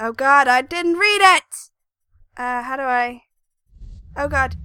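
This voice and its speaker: With music in the background, a woman speaks at a very slow pace, her pitch swinging very widely. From England. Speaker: gaming commentator. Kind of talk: let's play commentary. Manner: casual, excitable.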